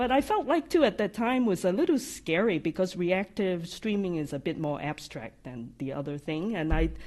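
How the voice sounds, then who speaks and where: A woman at medium pitch with a slight non-native accent, very wide pitch swings, a moderate pace and hardly any pauses, over a quiet background. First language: not English. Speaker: AI practice lead, software developer advocate. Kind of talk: live podcast interview. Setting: live studio audience at company summit. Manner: occasional stutters and hesitations.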